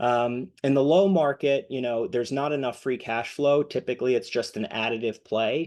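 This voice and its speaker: A man speaks in an ordinary speaking voice at a medium pitch and moderate pace, with ordinary pitch variation, hardly any pauses, and a quiet background. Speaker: M&A advisor for accounting firms. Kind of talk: webinar presentation.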